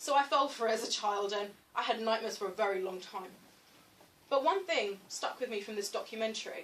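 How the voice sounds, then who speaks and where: A woman talks at a very fast pace with a British accent. Her pitch is fairly high, with ordinary variation. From London, England. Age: 20s. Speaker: writer giving a career talk. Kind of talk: motivational talk.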